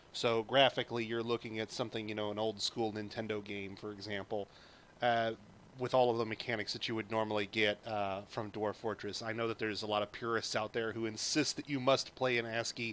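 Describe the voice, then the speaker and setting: A man at a medium pitch delivers his words fairly quickly in a monotone, flat way. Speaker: video game streamer. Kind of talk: tutorial. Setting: live stream. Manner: soft-spoken; hesitant, many fillers.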